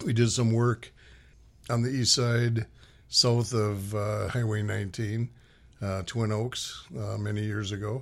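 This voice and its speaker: A plain, everyday voice with an American accent at a fairly slow pace, on a very clean recording with a silent background. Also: man, fairly low pitch for a man, fairly even intonation. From Minnesota. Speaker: nonprofit executive. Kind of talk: radio interview. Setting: radio studio.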